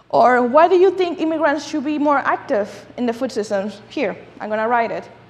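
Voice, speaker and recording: With a Dominican accent, a woman speaks at a moderate pace in a high pitch with lively intonation, over noticeable background noise and audible room echo. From Dominican Republic. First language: Spanish. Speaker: food justice advocate and speaker. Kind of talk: lecture. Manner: animated.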